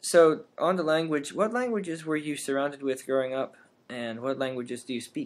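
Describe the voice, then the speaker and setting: A man's normal speaking voice, fairly high in pitch, with lively intonation at a moderate pace. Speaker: podcast host, linguistics grad student. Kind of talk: interview. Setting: podcast recording.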